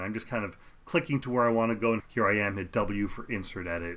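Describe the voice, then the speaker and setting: Using a plain, everyday voice, a man of medium pitch talks at a fairly quick pace. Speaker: professional video editor teaching software. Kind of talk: tutorial. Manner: casual, conversational.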